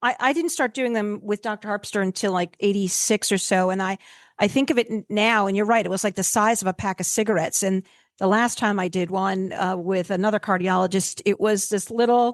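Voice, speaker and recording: Close and dry with no echo, a woman with an unremarkable speaking voice talks at a fairly quick pace in a medium pitch with ordinary pitch variation, a quiet background behind her. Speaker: veterinarian, podcast host. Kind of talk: casual podcast conversation.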